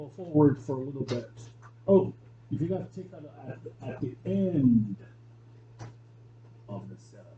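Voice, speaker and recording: Amid audible room echo, a man with a dark, mellow tone and vocal fry speaks at a moderate pace, with lively intonation, big swings in loudness, and long, frequent pauses. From China. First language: Chinese. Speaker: piano teacher. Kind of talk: lecture.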